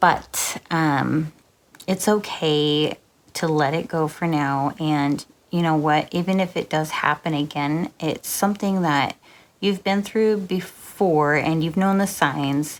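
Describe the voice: A soft-spoken woman talks slowly with a low pitch and ordinary pitch variation.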